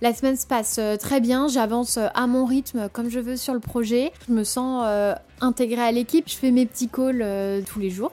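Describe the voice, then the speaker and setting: Her high-pitched delivery has fairly even intonation and hardly any pauses, a woman speaking. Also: moderate pace. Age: 30s. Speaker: audit firm manager. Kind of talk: personal testimony. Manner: casual, hesitant with fillers.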